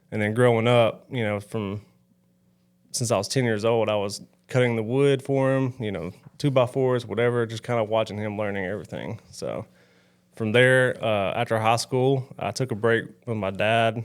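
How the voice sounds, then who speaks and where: With a Southern US accent, a man speaks at a moderate pace in a medium pitch with fairly even intonation. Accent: Southern twang. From US South, northern Alabama. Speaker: roofing site supervisor. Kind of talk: casual interview.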